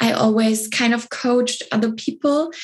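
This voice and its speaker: This is a woman's voice. It comes across as somewhat breathy. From southern Germany. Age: 20s. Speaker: spiritual business coach. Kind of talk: interview. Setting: podcast.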